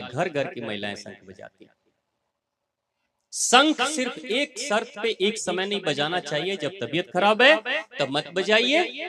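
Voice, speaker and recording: In a bright, sharp tone, a man talks with very wide pitch swings. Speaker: spiritual discourse speaker. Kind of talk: religious discourse to a live audience. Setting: hall with live audience and PA. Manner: soft-spoken.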